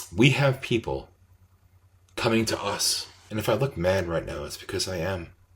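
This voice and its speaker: Passionate in tone, a man with a fairly low pitch speaks at a moderate pace with lively intonation and long, frequent pauses. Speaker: activist radio host. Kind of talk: monologue. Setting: video recording. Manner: loud.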